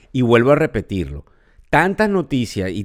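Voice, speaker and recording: A man's medium-pitched voice with a Venezuelan accent, on a very clean recording with a silent background. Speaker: financial podcast host. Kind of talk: podcast commentary. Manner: conversational with filler hesitations.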